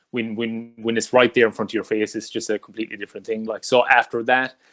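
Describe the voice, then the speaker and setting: In an Irish accent, a man speaks at medium pitch and a very fast pace, on a very clean recording with a silent background and a dry, close sound with no echo. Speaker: wrestling podcast host. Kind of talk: interview. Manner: loud, enthusiastic.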